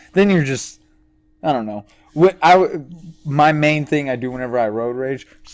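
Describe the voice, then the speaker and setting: At a moderate pace, a man with a normal speaking voice talks at a fairly high pitch. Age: 20s. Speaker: podcast co-host. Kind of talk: casual chat.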